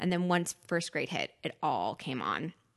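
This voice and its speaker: A woman with a normal speaking voice and an American accent talks at a moderate pace with a fairly low pitch. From New York, Westchester County. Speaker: media company employee, gastric surgery patient. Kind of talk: casual chat.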